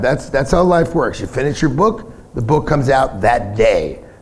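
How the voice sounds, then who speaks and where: A man with a New York accent, very wide pitch swings and a moderate pace, amid noticeable background noise and audible room echo. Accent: New York (Bronx). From US Northeast (Bronx, New York City). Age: 60s. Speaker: punk singer. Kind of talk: casual interview on stage. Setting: bar with live audience.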